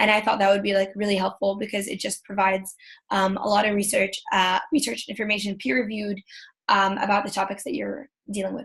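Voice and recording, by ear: The voice has vocal fry and a fairly bright tone. It moves at a fairly quick pace with little pitch movement. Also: woman, medium pitch for a woman.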